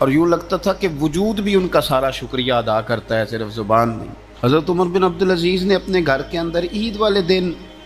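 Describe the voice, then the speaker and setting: Noticeable background noise runs under the speech. The voice makes very wide pitch swings. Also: man, high pitch for a man. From Pakistan. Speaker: Islamic scholar and preacher. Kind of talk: religious sermon.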